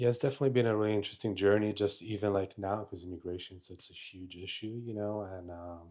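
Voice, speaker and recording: At a fairly quick pace, a man talks in a fairly low, dark, mellow voice with ordinary pitch variation. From Italy, born in Romania. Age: 30s. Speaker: Navy veteran. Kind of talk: podcast interview.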